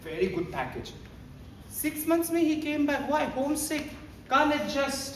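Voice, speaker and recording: A man with an Indian accent and an extremely high pitch, fairly slow pace, long and frequent pauses, ordinary pitch variation, audible room echo and noticeable background noise. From Northeast India (Shillong, Meghalaya). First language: Hindi. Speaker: teacher trainer. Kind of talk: training workshop talk. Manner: animated, code-switching Hindi and English.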